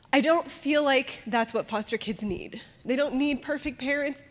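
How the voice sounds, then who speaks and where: A woman speaks at a moderate pace with a high pitch. There is noticeable background noise. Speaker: foster parent. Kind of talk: testimony.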